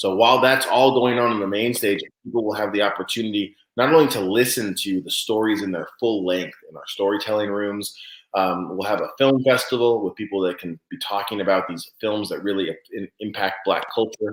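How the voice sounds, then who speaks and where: Fairly low in pitch, a man speaks at a fairly quick pace with fairly even intonation. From California (Santa Cruz). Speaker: event organizer. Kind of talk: interview. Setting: live online show. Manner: fast.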